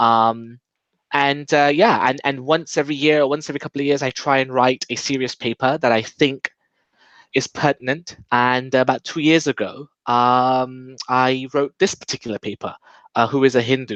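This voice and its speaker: A man with a British accent, medium pitch, fairly even intonation and moderate pace, in a quiet background. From England. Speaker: think-tank coordinator and author. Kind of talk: casual interview. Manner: halting with frequent fillers.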